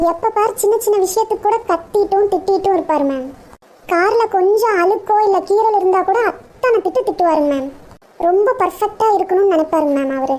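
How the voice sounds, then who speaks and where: Extremely high pitch in a cartoonish character voice. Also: moderate pace. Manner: deferential, says ma'am constantly.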